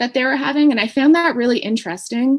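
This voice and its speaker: A woman is speaking. She has a Maritimes accent. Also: quiet background. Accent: Canadian English (Maritimes). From Canada, New Brunswick (Hampton). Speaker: communications professional. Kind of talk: panel discussion.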